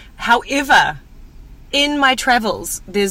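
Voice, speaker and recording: A woman speaks fairly slowly while noticeable background noise carries on. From New Zealand. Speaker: broadcaster, media personality. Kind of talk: casual chat.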